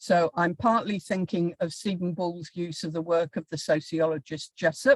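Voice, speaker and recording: A woman speaks in a fairly low pitch at a fairly slow pace. Her voice is somewhat breathy, with a dry, close sound and no echo. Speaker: professor. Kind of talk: lecture. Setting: video call.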